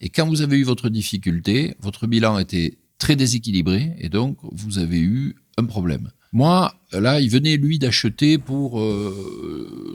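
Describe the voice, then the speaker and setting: The speech goes at a very slow pace. Its intonation is lively. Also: man. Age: 60s. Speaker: entrepreneur, pig farmer. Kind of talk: interview answer. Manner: colourful, vivid speech.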